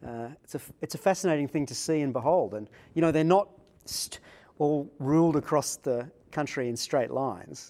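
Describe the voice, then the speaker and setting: His dark, mellow tone sits at a fairly high pitch for a man, with ordinary pitch variation. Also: moderate pace. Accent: Australian. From Australia, Sydney. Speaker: religious studies professor. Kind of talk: interview conversation. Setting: conference venue.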